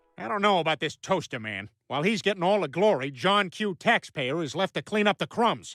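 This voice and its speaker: In a cartoonish character voice at a middle pitch, the speaker moves at a fairly quick pace with hardly any pauses. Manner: blustering, goofy.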